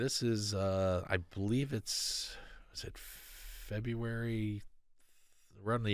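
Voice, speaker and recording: There is audible room echo around a man with a fairly low pitch. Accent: American. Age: 50s. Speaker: sound engineer and motorcycle builder. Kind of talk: casual interview. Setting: studio.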